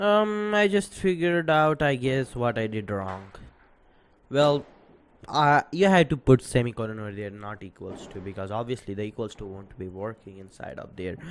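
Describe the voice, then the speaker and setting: On a very clean recording with a silent background, a man at medium pitch makes very wide pitch swings and big swings in loudness. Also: moderate pace. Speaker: programming tutorial youtuber. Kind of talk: tutorial. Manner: hesitant, many fillers.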